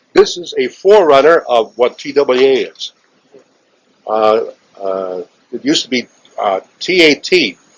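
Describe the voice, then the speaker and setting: A man with a Chicago accent speaks at a fairly slow pace and fairly high pitch. His pitch swings very widely, with long, frequent pauses. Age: 70s. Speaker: aviation veteran. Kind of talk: interview. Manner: halting.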